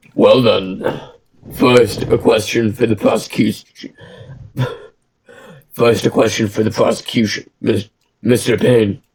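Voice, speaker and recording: A man puts on a raspy character voice at a medium pitch, his loudness staying very even. He talks at a fairly slow pace with long, frequent pauses. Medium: game stream. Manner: formal, deliberate.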